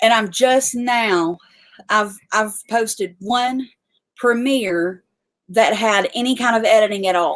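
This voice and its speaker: A woman talks at a very slow pace, her fairly high pitch showing ordinary variation. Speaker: homesteading YouTuber. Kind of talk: live stream chat. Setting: livestream. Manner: halting.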